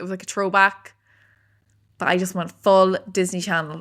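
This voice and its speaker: A woman talks at a fairly quick pace with an Irish accent. Her medium-pitched voice is monotone, with flat intonation. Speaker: podcast co-host. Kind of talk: casual chat.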